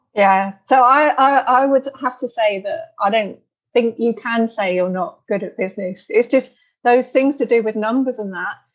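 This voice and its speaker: A woman with a British accent speaks at a moderate pace, her fairly high voice showing ordinary pitch variation. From UK. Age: 50s. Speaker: podcast host and healer. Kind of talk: interview.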